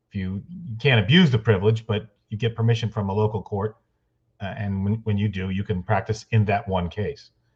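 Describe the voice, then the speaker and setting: Fairly low-pitched and somewhat breathy, a man talks at a fairly quick pace with ordinary pitch variation. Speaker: trial lawyer. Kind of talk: interview.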